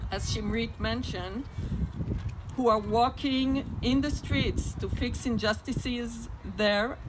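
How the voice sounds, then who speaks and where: A woman with an Israeli accent speaks at a fairly slow pace. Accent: non-native, Israeli. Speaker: activist speaker at a peace rally. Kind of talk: rally speech.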